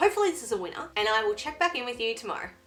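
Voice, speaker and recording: A woman speaks with fairly high pitch and very wide pitch swings. Music sits in the background. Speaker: beauty vlogger. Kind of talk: product review vlog. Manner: casual, chatty.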